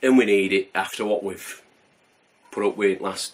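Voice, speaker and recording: A man with a Yorkshire accent speaks at a fairly slow pace. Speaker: homebrewing video host. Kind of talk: casual vlog chat. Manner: mumbling.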